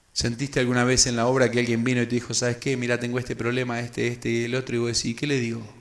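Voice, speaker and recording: Very fast and flat in monotone, a man speaks at medium pitch. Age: 30s. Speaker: preacher, youth leadership workshop speaker. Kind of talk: sermon-style workshop talk.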